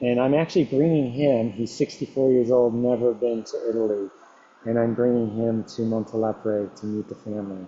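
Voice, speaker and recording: A man with an American accent speaks at a moderate pace in a medium pitch, his intonation fairly even. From US Midwest, Detroit. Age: 60s. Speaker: culinary tour guide. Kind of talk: interview. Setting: podcast interview. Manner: hesitant, many fillers.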